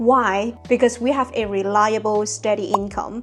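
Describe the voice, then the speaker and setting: A woman talks at a moderate pace in a fairly high pitch. Her intonation stays fairly even. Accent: non-native. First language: not English. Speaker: productivity youtuber. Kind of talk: scripted video monologue.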